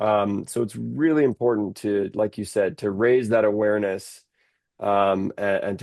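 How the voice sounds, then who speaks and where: Fairly low for a man, this man's voice is an unremarkable speaking voice with fairly even intonation. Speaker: podcast host and interpreter. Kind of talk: interview conversation.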